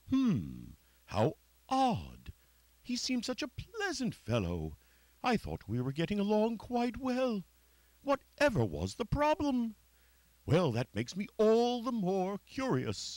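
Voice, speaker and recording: A man speaks in a cartoonish character voice, pitched high for a man. His pace is fairly slow. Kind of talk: puppet theatre performance. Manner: polite, cheerful.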